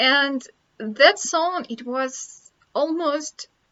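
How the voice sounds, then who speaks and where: A woman is speaking. She has a Russian accent. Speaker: vlogger. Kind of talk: casual chat. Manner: halting.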